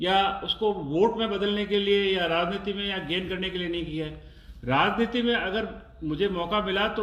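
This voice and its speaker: Audible room echo and noticeable background noise surround a man speaking at a moderate pace with ordinary pitch variation. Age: 60s. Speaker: oncologist doctor. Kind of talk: interview. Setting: live stream.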